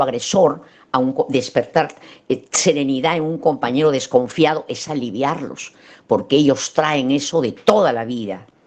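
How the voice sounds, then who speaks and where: A woman talks at a fairly slow pace in a very deep, low pitch. Her pitch variation is ordinary. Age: 80s+. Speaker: psychologist lecturer. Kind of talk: lecture.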